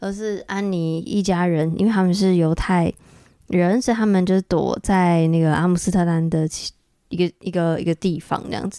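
In a very clean recording with a silent background, a woman talks at a moderate pace in a dark, mellow tone at a fairly low pitch. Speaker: podcast host. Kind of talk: solo monologue. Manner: animated.

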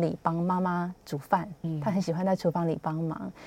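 A woman speaks in a Taiwanese accent at a moderate pace. Her voice is fairly low-pitched with a dark, mellow tone. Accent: Taiwanese Mandarin. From Taiwan, Hsinchu. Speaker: health magazine journalist. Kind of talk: radio interview. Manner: halting, many fillers.

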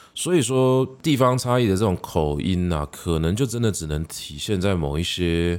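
With a Taiwanese accent, a man speaks at a moderate pace in a very deep, low pitch with lively intonation, in a very clean recording over a silent background. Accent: Taiwanese Mandarin. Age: middle-aged. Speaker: podcast host and literature teacher. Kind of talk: solo educational monologue. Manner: casual with frequent fillers.

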